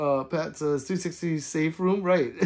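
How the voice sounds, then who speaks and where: In quiet surroundings, a man's pitch moves in an ordinary way. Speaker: gun YouTuber live streamer. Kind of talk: casual live stream chat reading comments.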